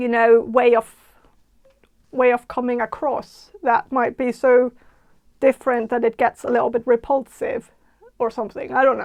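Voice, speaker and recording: A woman speaks with a strong Danish accent, a high pitch and monotone, flat intonation. Her moderate pace is broken by long, frequent pauses, in a dry, close sound with no echo. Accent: thick Danish. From Denmark (Jutland). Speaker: tarot reader. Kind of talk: tarot reading monologue. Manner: halting, many fillers and restarts.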